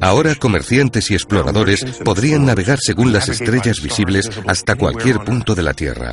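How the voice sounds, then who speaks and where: The man's voice has a solemn tone and a fairly low pitch, with lively intonation at a moderate pace. Noticeable background noise runs underneath. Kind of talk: nature documentary narration. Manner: measured, solemn, awestruck storytelling pace.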